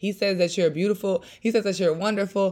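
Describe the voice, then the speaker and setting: A woman's animated, medium-pitched voice in a very clean recording with a silent background. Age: 20s. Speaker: podcast host. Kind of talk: casual chat mixed with sermon-style teaching.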